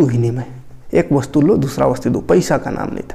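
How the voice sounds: His dark, mellow tone is laced with vocal fry as the man speaks.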